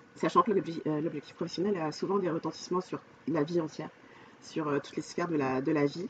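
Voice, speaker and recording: Over noticeable background noise, a woman with a fairly low pitch talks at a fairly quick pace, her pitch varying in an ordinary way. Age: 40s. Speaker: life coach. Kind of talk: podcast interview.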